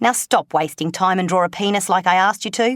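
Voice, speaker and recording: A woman's fairly low voice at a moderate pace with ordinary pitch variation, in a very clean recording with a silent background and a dry, close sound with no echo. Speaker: actress, voice actor. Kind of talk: book reading. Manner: energetic, playful.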